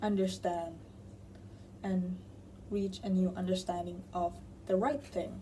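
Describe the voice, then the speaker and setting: A woman with a Thai accent, speaking at a fairly slow pace. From Thailand. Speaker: tarot reader. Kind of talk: tarot reading to camera. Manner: casual, self-correcting.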